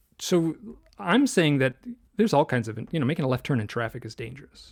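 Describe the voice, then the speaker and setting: There is vocal fry in this man's voice, captured in a very clean recording with a silent background. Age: 60s. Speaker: author and illustrator. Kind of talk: interview conversation.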